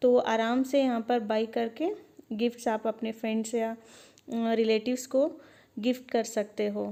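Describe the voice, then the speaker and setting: Here a woman speaks with a high pitch. Her tone is dark and mellow. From Bangalore, India. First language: Dakhini Urdu-Hindi mix (speaking Hindi). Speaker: vlogger. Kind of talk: shopping vlog narration. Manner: casual, conversational.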